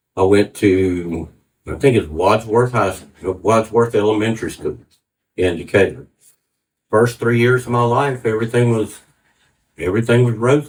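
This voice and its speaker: A man with an American accent and a medium pitch speaks at a moderate pace, somewhat breathy, with ordinary pitch variation and long, frequent pauses. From US South, Atlanta, Georgia. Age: 60s. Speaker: church testimony speaker. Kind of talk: testimony. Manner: halting.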